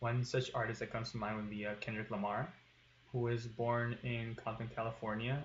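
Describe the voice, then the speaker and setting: A man with a West Coast accent speaks at a fairly quick pace. His voice is somewhat breathy and his intonation monotone and flat. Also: medium pitch for a man. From Tijuana, Mexico. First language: Spanish. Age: 20s. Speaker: student. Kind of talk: class presentation. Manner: hesitant with fillers.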